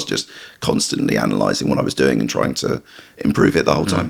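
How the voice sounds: A put-on character voice from a man, very deep, low, croaky and raspy, with lively intonation at a very fast pace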